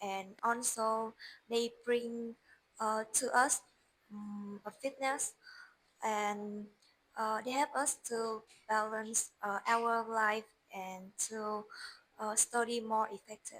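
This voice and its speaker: With a Vietnamese accent, a woman speaks very slowly at a fairly high pitch. Her intonation is monotone and flat, broken by long, frequent pauses. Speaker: English learner. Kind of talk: speaking test practice. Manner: halting.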